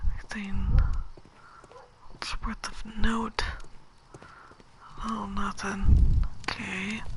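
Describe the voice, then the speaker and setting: Over noticeable background noise, a whisper moves very slowly with long, frequent pauses. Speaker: video game streamer. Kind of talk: let's play commentary. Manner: soft-spoken.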